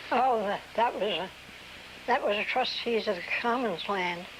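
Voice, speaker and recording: A woman with an American accent speaks at a fairly high pitch and fairly slow pace, with ordinary pitch variation and noticeable background noise. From US Mid-Atlantic, New Castle, Delaware. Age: 80s+. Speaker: oral history interviewee. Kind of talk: oral history interview. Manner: halting.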